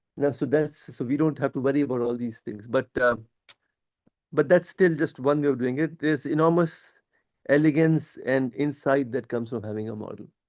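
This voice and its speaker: An unremarkable speaking voice from a man, fairly high-pitched, fairly quick in pace, with ordinary pitch variation. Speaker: professor. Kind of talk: lecture.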